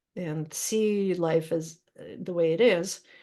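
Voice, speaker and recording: The tone is dark and mellow, with ordinary pitch variation and a Russian accent. The background is quiet. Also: woman. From Ukraine and Russia (Odessa, Moscow). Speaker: poet and creative writing teacher. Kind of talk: Q&A conversation at a reading event. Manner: hesitant, many fillers.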